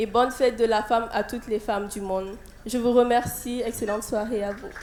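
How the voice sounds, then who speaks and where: A fairly high-pitched woman's voice in a Burkinabe accent, fairly quick and monotone, flat in intonation, with audible room echo and noticeable background noise. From Burkina Faso. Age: 20s. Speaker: beauty pageant contestant. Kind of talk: prepared speech. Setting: stage with audience. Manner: halting.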